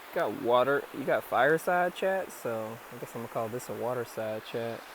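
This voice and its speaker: Soft-spoken delivery, with noticeable background noise in the recording. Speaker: spiritual vlogger. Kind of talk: casual monologue vlog. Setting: outdoors by a river. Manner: calm.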